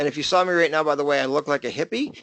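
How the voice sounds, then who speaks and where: A man speaks at a very fast pace with fairly high pitch. The sound is dry and close with no echo, over a quiet background. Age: 50s. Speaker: business coach. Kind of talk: webinar presentation.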